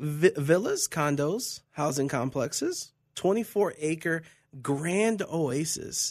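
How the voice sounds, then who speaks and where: A man with an American accent, fairly high-pitched, with ordinary pitch variation and a very slow pace, against a quiet background. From Cleveland, Ohio, US. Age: 20s. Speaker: sports radio co-host. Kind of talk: casual sports talk show. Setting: radio studio.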